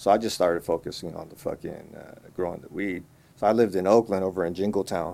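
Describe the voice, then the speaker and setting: Very fast, flat and monotone speech in a Californian accent, dark and mellow in tone, on a very clean recording with a silent background. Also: man, very deep, low pitch for a man. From Los Angeles (Koreatown), then Marin County, Bay Area. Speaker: cannabis grower and brand owner. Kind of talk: casual interview. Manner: relaxed, filler-heavy.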